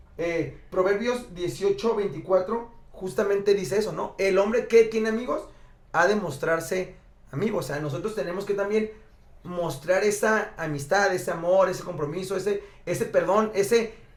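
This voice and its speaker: Some room echo can be heard as a man with a high pitch talks at a moderate pace with ordinary pitch variation. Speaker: podcast co-host. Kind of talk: casual chat.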